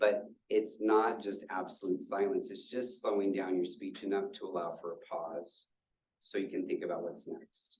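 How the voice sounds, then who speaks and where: Audible room echo surrounds the recording. A man talks at a fairly slow pace. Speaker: university staff presenter. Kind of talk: lecture. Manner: filler words.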